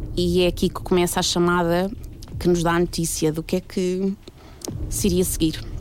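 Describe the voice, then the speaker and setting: Speaking at a moderate pace, a woman with a fairly low voice keeps a monotone, flat intonation. She leaves long, frequent pauses while music plays in the background. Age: 30s. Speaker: storyteller. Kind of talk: testimony.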